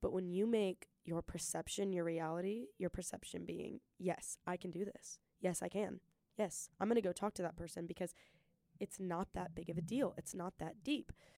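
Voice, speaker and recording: A woman's dark, mellow voice, fairly low in pitch, at a fairly quick pace with fairly even intonation and a dry, close sound free of echo. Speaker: podcast host. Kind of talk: solo podcast monologue. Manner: fast talker.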